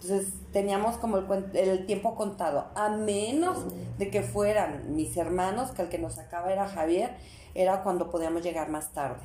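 Woman with a Mexican accent at medium pitch and moderate pace, ordinary pitch variation, with noticeable background noise and audible room echo. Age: 50s. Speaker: mother of the host. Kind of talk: casual chat.

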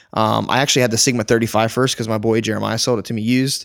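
A man at a medium pitch, on a very clean recording with a silent background. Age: 20s. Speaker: photographer and podcast co-host. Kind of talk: casual chat. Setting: recording late at night. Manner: fast, animated.

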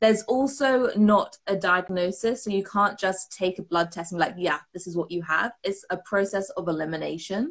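Delivered at a moderate pace with ordinary pitch variation, the speech in a British accent runs on with hardly any pauses. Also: woman, medium pitch for a woman. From UK. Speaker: performance mindset coach. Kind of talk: casual interview chat.

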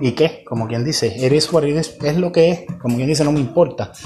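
Background music under a man speaking at a fairly high pitch. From Puerto Rico (Ciales). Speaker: podcaster. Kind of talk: political commentary monologue. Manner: halting, many repetitions and fillers.

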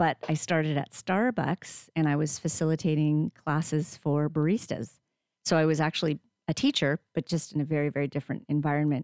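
The speech moves at a fairly quick pace in a Canadian accent, with very even loudness and fairly even intonation, on a very clean, silent recording with a dry, close sound and no echo. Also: woman, very deep, low pitch for a woman. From Canada, near Toronto. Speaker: community radio director and host. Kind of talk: interview conversation.

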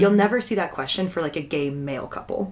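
A woman talks at a fairly quick pace in a plain, everyday voice. Her intonation is lively. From Texas. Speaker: podcast guest. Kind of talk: casual chat.

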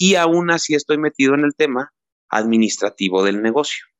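With an unremarkable speaking voice, a man talks at a moderate pace with ordinary pitch variation. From Mexico, Teziutlán, Puebla. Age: 30s. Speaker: citrus farmer and website co-founder. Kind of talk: interview.

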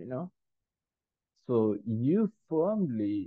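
With an Indian accent, the voice moves through very wide pitch swings. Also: man. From Kerala, India. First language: Malayalam. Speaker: spiritual teacher and speaker. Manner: hesitant, filler-heavy.

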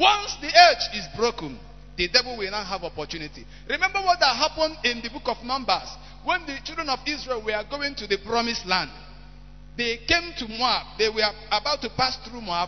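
A man with a Nigerian accent talks fairly quickly in an extremely high voice, with very wide pitch swings and big swings in loudness over noticeable background noise. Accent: Nigerian Igbo English. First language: Igbo. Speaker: preacher. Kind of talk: sermon.

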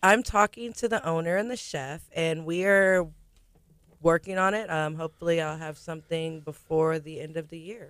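This is a plain, everyday voice with ordinary pitch variation, delivered at a moderate pace. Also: woman, fairly low pitch for a woman. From Galveston, Texas. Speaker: restaurant general manager. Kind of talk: radio interview. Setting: studio.

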